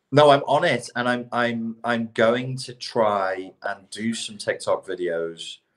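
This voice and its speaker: At a very slow pace, a man with a British accent speaks at a medium pitch with ordinary pitch variation. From Britain. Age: middle-aged. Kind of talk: casual chat.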